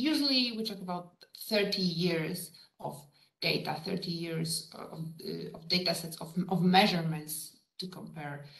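There is audible room echo as a woman speaks at a fairly slow pace. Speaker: lecturer. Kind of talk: lecture. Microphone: video call.

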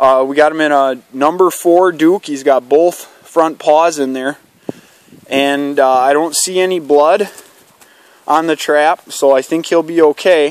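A man at a fairly slow pace, fairly even intonation, dry sound with no echo. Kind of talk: casual vlog commentary. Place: forest. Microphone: phone near.

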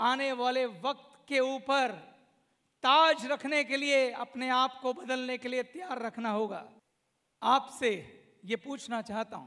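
A man talks at an extremely high pitch in a raised, projected voice with a bright, sharp tone and fairly even intonation, his loudness swinging widely. He goes at a very slow pace with long, frequent pauses against a quiet background. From India, Uttar Pradesh (Saharanpur), then Delhi; Uttar Pradesh. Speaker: company founder, motivational speaker; motivational speaker. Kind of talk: motivational speech. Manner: emphatic, repetitive. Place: hall. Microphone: handheld.

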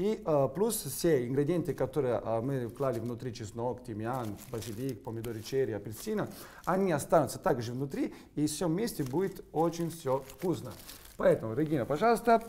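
A man speaks with a dark, mellow tone at a fairly high pitch. His pitch swings very widely. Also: moderate pace. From Sicily, Italy. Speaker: chef. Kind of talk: cooking demonstration. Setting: kitchen studio. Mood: playful, upbeat. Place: kitchen.

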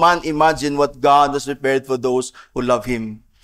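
At a fairly slow pace, a man speaks while music plays behind him. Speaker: pastor. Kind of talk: sermon. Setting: church. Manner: earnest, preaching, mixes English and Cebuano. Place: church. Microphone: podium.

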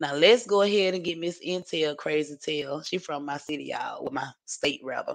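With a Southern US accent, this woman talks. She keeps a moderate pace. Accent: Southern US country. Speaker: YouTube livestream host. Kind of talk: casual livestream chat. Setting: home livestream. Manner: rambling, chatty.

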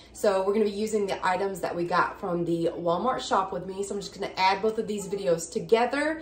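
A woman's voice carries audible room echo. Light background noise sits underneath. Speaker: home vlogger. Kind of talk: casual vlog chat. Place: kitchen. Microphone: phone near.

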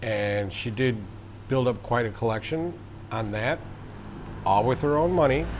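Speaking with an American accent at a moderate pace, the speaker leaves long, frequent pauses, and the room echo is audible. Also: man, medium pitch for a man, ordinary pitch variation. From United States. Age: 60s. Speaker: vlogger. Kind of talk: casual monologue.

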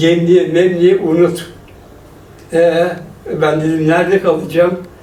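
Very slow speech over noticeable background noise. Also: man. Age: 80s+. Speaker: former footballer and coach. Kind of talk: interview answer.

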